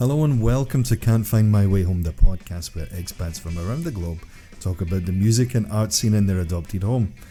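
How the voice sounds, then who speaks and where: A man with a fairly low voice talks at a fairly quick pace with lively intonation. Music plays in the background. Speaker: podcast host. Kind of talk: podcast intro.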